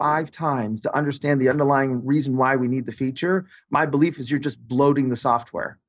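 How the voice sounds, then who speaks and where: A man speaks at a fairly quick pace. He has a plain, everyday voice. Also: hardly any pauses. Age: 50s. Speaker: innovation consultant. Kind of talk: interview.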